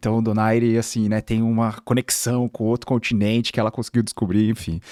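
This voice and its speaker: A man in an interior São Paulo accent at a fairly quick pace, medium in pitch with a dark, mellow tone, monotone, flat intonation and very even loudness, in a dry, close, very clean recording with a silent background and no echo. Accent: Bauru interior São Paulo accent, noticeable R. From Brazil, Bauru (interior of São Paulo state). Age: 30s. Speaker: corporate executive (chief of staff). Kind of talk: podcast interview. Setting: studio.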